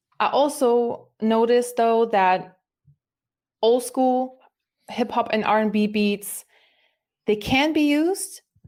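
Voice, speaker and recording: With a German accent, a woman with a fairly high pitch talks at a very slow pace, leaving long, frequent pauses, her loudness very even and her pitch variation ordinary. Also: very clean recording, silent background. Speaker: musician. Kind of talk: casual chat.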